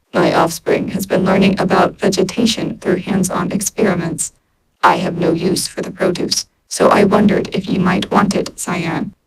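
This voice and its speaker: A put-on, robotic character voice at a middle pitch and a moderate pace. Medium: read story. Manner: formal, detached.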